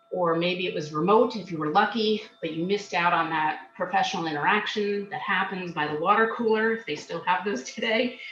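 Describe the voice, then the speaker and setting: Noticeable background noise behind a woman's medium-pitched, fairly quick speech, its pitch varying in an ordinary way. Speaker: job search skills coach. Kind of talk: webinar presentation. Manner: loud; fast.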